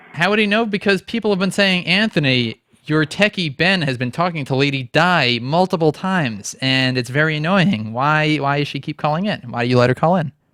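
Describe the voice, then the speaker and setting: In an ordinary speaking voice pitched fairly high, a man talks at a fairly quick pace with hardly any pauses, the sound dry and close with no echo. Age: 20s. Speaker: online radio host. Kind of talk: call-in show. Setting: studio.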